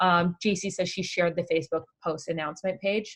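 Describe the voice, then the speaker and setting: A woman with a Canadian accent speaks fairly quickly in a normal speaking voice. Her pitch is fairly low, and the background is quiet. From Canada. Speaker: online craft community founder. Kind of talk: live stream chat. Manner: casual, with many fillers.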